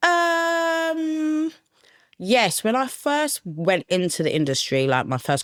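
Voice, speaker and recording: A woman speaks very slowly in a South East London accent. The recording is very clean, with a silent background. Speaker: production manager. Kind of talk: interview conversation. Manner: casual, uses many fillers.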